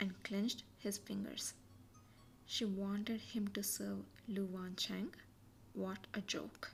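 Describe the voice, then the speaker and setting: The voice is quiet and very slow. Music plays in the background. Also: woman. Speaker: amateur audiobook reader. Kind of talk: novel reading aloud, podcast. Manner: quiet, steady.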